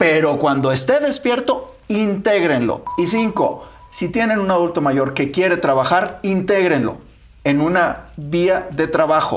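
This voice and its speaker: Over noticeable background noise, a high-pitched man talks at a fairly slow pace with lively intonation and very even loudness. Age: 50s. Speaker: physician co-host. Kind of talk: casual chat.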